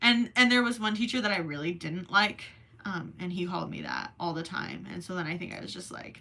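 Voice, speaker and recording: Speaking with an American accent, a woman with a fairly low pitch shows ordinary pitch variation and big swings in loudness. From Minnesota, US. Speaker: crochet livestreamer. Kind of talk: casual livestream chat. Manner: casual, hesitant with many ums.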